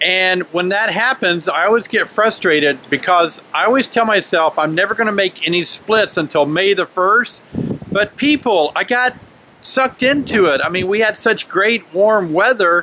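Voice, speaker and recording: A man speaks in a raised, projected voice at a moderate pace, with very even loudness and ordinary pitch variation. The sound is dry with no echo, over light background noise. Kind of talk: casual vlog chat. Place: garden. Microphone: phone near.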